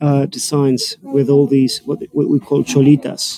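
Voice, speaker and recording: A man speaks in a dry recording with no echo and a little noise in the background. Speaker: tour guide. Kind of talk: live walking tour commentary. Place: shop. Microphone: phone near.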